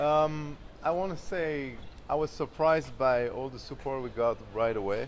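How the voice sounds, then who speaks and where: A man with a French accent speaks with ordinary pitch variation. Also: fairly high pitch for a man, moderate pace. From France, Champagne region. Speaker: champagne brand co-founder. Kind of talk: interview.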